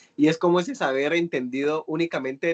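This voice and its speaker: A man talks at a very fast pace in a fairly high pitch. The recording sounds dry and close, with no echo. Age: 20s. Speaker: youth course facilitator. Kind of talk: online workshop discussion.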